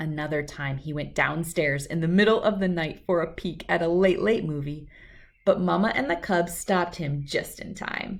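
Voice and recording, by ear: A woman with a low pitch speaks with vocal fry. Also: ordinary pitch variation, moderate pace.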